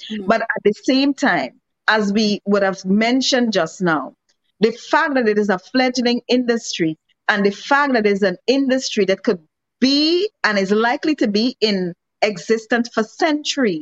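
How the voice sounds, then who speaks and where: This woman has an ordinary speaking voice, pitched fairly high. She talks at a moderate pace with lively intonation. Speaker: economics and trade expert. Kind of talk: interview on a podcast.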